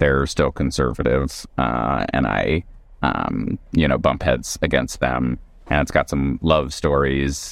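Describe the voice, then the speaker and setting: This man has a very deep, low pitch with vocal fry and an American accent. He talks at a very slow pace with very even loudness and fairly even intonation. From US South. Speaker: stand-up comedian and author. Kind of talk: casual chat.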